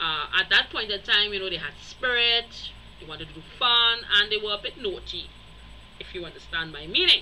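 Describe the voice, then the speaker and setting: A woman at medium pitch, with ordinary pitch variation, a moderate pace and big swings in loudness. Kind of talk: casual video commentary. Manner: hesitant, many fillers.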